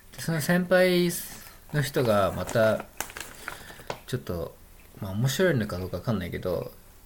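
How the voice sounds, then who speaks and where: There is noticeable background noise as a man of medium pitch speaks at a moderate pace. His pitch swings very widely, and he leaves long, frequent pauses. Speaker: podcast host. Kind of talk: casual chat.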